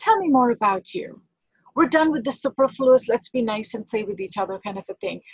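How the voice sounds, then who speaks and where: A woman's high voice, with lively intonation, comes through a dry, close sound with no echo. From India. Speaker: foundation president, interviewer. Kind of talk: interview.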